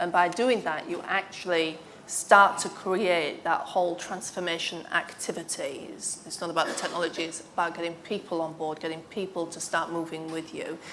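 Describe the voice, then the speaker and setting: A woman with a northern English accent speaks in a fairly low pitch with fairly even intonation, big swings in loudness, and hardly any pauses, amid audible room echo and noticeable background noise. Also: moderate pace. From northern England. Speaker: former IT executive, panellist. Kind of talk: panel discussion.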